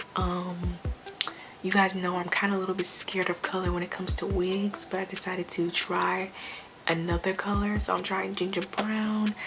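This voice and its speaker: A woman talks at a moderate speed while noticeable background noise runs underneath. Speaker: beauty vlogger. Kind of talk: product review.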